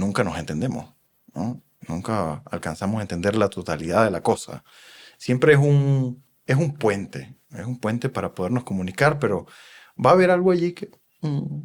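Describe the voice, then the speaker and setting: Talking at a moderate pace and medium pitch, a man makes very wide pitch swings and big swings in loudness. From Venezuela. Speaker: psychoanalyst. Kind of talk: podcast interview.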